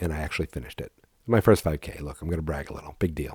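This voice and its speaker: In a put-on character voice, a man talks very fast with a raspy, very deep, low pitch, the sound dry and close with no echo. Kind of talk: public radio voice.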